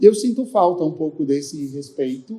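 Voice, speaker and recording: Dark and mellow in tone, a man's voice moves at a fairly slow pace. His pitch varies in an ordinary way. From Brazil, interior of São Paulo state. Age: 60s. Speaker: fashion designer. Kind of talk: panel discussion.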